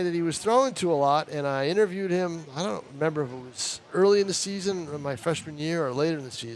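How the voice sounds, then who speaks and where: An ordinary speaking voice, a man's, fairly high in pitch with lively intonation. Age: 60s. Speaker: baseball color commentator. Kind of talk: live sports commentary with casual chat.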